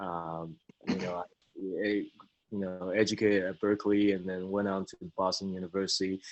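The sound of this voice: Low in pitch with little pitch movement, a man speaks at a moderate pace.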